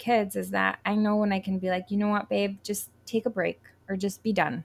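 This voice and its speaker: With an American accent, a woman talks in an ordinary speaking voice at a medium pitch, her intonation fairly even. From Connecticut. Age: 30s. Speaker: writer and homeschooling mom. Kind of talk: interview.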